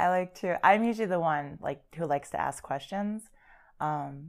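Recorded very cleanly against a silent background, a woman speaks at a moderate pace with ordinary pitch variation. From Wisconsin, US Midwest. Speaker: guest. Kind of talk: casual chat. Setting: studio.

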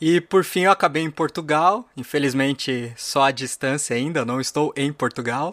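An unremarkable speaking voice belongs to a man with fairly high pitch and ordinary pitch variation, speaking at a moderate pace with hardly any pauses. The recording is very clean with a silent background, and the sound is dry and close with no echo. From São Paulo, Brazil. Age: 30s. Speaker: podcast co-host and tech producer. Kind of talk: recorded self-introduction.

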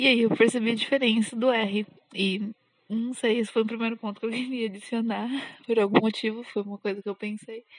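Somewhat breathy, a woman talks at a fairly quick pace in a fairly high pitch with monotone, flat intonation. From São Paulo, Brazil. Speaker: podcaster. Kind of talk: personal diary monologue. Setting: outdoors walking dog. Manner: halting.

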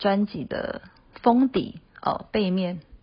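This woman speaks with a Mandarin Chinese accent. Her medium-pitched voice is somewhat breathy. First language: Mandarin Chinese (speaking Japanese). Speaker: singer and producer. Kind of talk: recorded comment message.

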